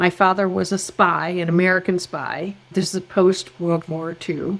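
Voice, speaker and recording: With music in the background, a woman speaks at a fairly slow pace in a fairly low pitch with monotone, flat intonation. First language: German. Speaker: background screening expert, former nurse. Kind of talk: podcast interview.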